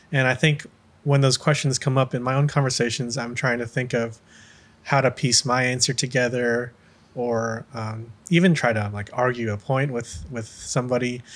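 A man with a normal speaking voice and an American accent, medium pitch, fairly even intonation and a moderate pace. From US, Filipino American. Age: 20s. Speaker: podcast host, coffee seller. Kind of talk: casual interview chat.

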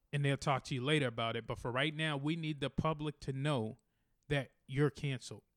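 Fairly high in pitch and fairly quick in pace, a man speaks in a normal speaking voice, the sound dry and close with no echo in a very clean recording over a silent background. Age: 30s. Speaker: podcast co-host. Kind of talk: show promo outro; casual chat.

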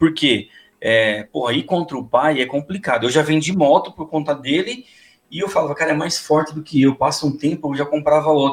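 A man with an ordinary speaking voice and a fairly high pitch talks at a moderate pace. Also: ordinary pitch variation. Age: 40s. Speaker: motorcycle youtuber. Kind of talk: casual chat.

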